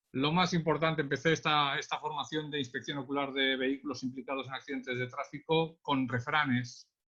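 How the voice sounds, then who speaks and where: In a Catalan accent, a man with a fairly high pitch talks at a fairly quick pace with fairly even intonation. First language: Catalan (speaking Spanish). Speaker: traffic police accident investigator, trainer. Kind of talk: webinar lecture. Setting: online webinar. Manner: hesitant, many fillers.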